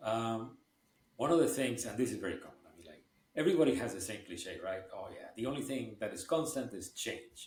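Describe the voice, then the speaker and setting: A man speaks at a moderate pace with a medium pitch and lively intonation. His voice is somewhat breathy. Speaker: podcast host. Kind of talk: podcast interview question.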